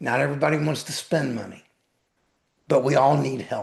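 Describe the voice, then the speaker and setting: The voice carries vocal fry, with ordinary pitch variation. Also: man. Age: 60s. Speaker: weight loss coach and author. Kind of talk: podcast interview. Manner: emphatic, repetitive.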